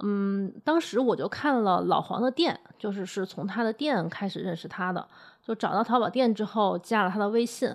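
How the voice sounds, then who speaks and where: With a very clean recording and silent background, the speaker uses a plain, everyday voice at a moderate pace. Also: woman, medium pitch for a woman, ordinary pitch variation. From Hunan, Changsha. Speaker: food podcast host. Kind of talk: podcast narration and conversational interview.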